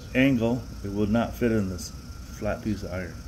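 Against light background noise, a man speaks fairly slowly in a fairly low voice with ordinary pitch variation. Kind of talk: tutorial. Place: garage. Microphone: phone near.

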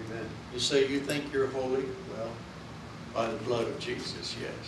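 A man with an American accent at a moderate pace, with audible room echo and noticeable background noise. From California. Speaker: pastor. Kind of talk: sermon. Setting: church. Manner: loud, urgent, exhorting the congregation. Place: church. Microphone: podium.

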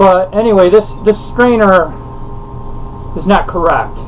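Light background noise accompanies a man speaking. He keeps a moderate pace with ordinary pitch variation. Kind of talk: casual how-to vlog. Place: boat. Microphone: camera far.

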